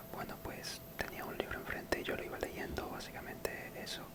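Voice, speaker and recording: A whispering voice moves at a moderate pace over noticeable background noise. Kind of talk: casual talk to camera. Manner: whispered.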